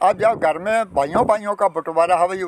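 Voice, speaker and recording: Dry with no echo, this man's voice shows ordinary pitch variation. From Punjab, Kapurthala district; Punjab. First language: Punjabi (speaking Hindi). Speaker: partition-era elder, former mill worker. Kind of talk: interview; interview answer. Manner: halting. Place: open country. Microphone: phone near.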